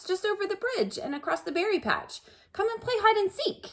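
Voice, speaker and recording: Using a put-on character voice, a woman speaks at an extremely high pitch. Her pace is moderate. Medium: read story. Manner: coaxing.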